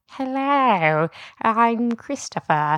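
In a put-on character voice, a female-sounding speaker uses a fairly high pitch against a quiet background.

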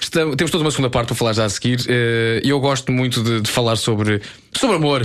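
At a very fast pace, a man of medium pitch speaks with very even loudness. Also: ordinary pitch variation. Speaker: radio host. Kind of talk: casual chat.

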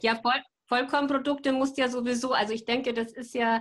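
A normal speaking voice from a woman, pitched fairly high and moving at a moderate rate. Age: 50s. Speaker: sustainability practitioner, mother of four. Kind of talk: interview.

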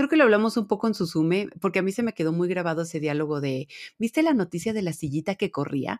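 Here a woman talks at a very fast pace with lively intonation. The recording is very clean, with a silent background and a dry, close sound with no echo. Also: medium pitch for a woman. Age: 30s. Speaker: podcast co-host. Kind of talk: casual chat.

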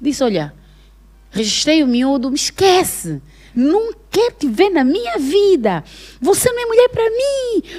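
A woman's high-pitched voice with very wide pitch swings, a fairly slow pace and long, frequent pauses, over noticeable background noise. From Angola, Benguela province. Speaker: actress and comedian. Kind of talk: casual chat.

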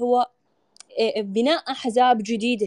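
A woman with an Iraqi accent speaks at a very slow pace. The sound is dry and close, with no echo. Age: 20s. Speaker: women's rights activist. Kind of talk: panel discussion.

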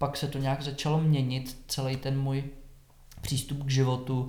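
A man's medium-pitched voice with audible echo from the room. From Czech Republic, Šumava region (southwest Bohemia). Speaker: yoga teacher. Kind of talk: casual interview about his life.

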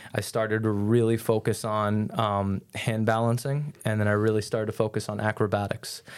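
Flat, monotone delivery comes at a fairly quick pace with an American accent. The recording is very clean, with a silent background. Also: man, fairly low pitch for a man. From New York. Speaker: fitness coach. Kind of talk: casual interview.

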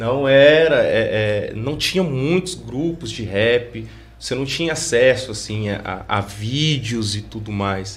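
Over background music and audible room echo, a man talks at a very slow pace with hardly any pauses. His medium-pitched voice has lively intonation. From Pouso Alegre, Minas Gerais, Brazil. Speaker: graffiti artist and hip hop veteran. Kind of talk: interview conversation.

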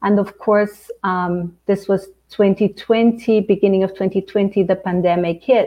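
A woman speaks at a very slow pace with hardly any pauses, her medium-pitched voice monotone and flat. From Angola. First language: Portuguese. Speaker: life coach and author. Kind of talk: casual interview.

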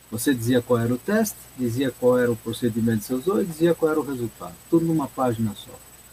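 A man's very fast speech at medium pitch, with lively intonation, big swings in loudness, and hardly any pauses, over noticeable background noise. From Brazil, São Paulo city. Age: 70s. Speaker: mechanical engineer and consultant. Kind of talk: interview. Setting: live stream.

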